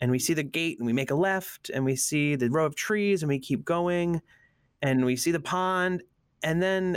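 With an American accent, a man speaks at a moderate pace and with lively intonation. He has an ordinary speaking voice. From US Northeast, Allentown, Pennsylvania. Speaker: creative strategist. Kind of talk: casual interview chat.

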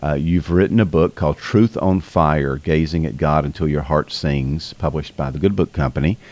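Hardly any pauses break this delivery in a strong Southern US accent with ordinary pitch variation. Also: man, very deep, low pitch for a man. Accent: strong Southern US drawl. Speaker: podcast host. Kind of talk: interview, casual chat. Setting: remote call with guest.

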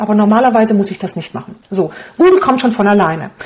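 A woman talks at a very fast pace in a Hungarian accent. Her pitch varies in an ordinary way, and there is noticeable background noise. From Romania. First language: Hungarian (speaking German). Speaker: blogger and online business coach. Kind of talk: interview.

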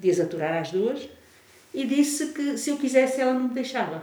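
A woman with a high pitch and very wide pitch swings speaks at a moderate pace amid noticeable background noise and audible room echo. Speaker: music teacher and researcher. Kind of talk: casual chat. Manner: animated, laughing.

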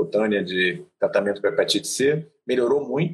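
A man is talking here. His pace is fairly quick. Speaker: physician. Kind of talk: educational live stream chat. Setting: video live stream.

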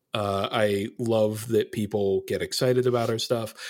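Recorded very cleanly against a silent background, a man with an unremarkable speaking voice talks at fairly low pitch with ordinary pitch variation. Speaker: game designer. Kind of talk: casual interview chat.

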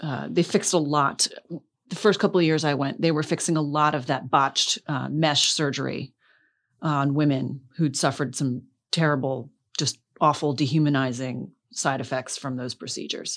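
At a moderate pace, a woman with an American accent speaks in a very deep, low voice with ordinary pitch variation, in a very clean recording over a silent background. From South Florida. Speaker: government relations director, lawyer. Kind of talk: interview.

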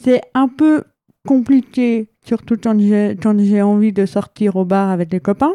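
In a dry, close sound with no echo, a woman with a dark, mellow tone and a medium pitch speaks at a very slow pace, her loudness very even and her pitch variation ordinary. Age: 20s. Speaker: hard-of-hearing and visually impaired guest. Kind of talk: testimony.

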